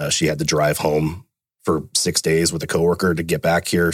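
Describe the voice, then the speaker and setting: A man with an American accent has a very deep, low pitch. His pace is fairly quick. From Fremont, California. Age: 30s. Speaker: police officer, canine handler and hostage negotiator. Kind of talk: casual interview conversation.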